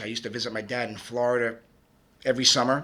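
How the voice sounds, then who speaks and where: Speaking at a fairly quick pace, a man with a Brooklyn accent has a bright, sharp tone. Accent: Brooklyn New York. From Brooklyn, New York. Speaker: music producer and DJ. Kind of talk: interview. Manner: halting, many fillers.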